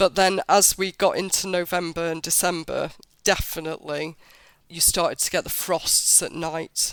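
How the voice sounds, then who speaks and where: The speech comes in a British accent with a flat, monotone intonation. The recording is very clean, with a silent background. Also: woman, fairly low pitch for a woman, moderate pace. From Britain. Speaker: travel blogger. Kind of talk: interview.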